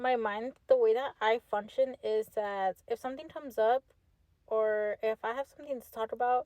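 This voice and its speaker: A woman with a fairly high pitch and a dark, mellow tone speaks at a moderate pace, her loudness swinging widely, in a dry, close sound with no echo. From Texas, Fort Worth. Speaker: podcast host. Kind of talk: casual monologue. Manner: casual, filler-heavy.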